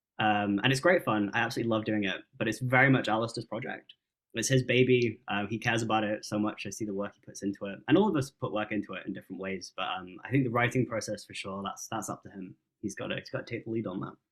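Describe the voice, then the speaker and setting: A man speaks at a very fast pace with ordinary pitch variation and big swings in loudness. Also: medium pitch for a man. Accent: English. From England. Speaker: musician and vocalist. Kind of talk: interview. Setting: video call.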